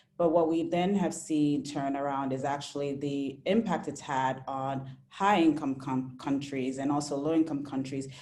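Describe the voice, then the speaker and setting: A woman with a very deep, low pitch and a dark, mellow tone speaks with hardly any pauses amid audible room echo. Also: moderate pace. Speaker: webinar moderator. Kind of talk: panel webinar moderation. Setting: video webinar. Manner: halting with self-corrections.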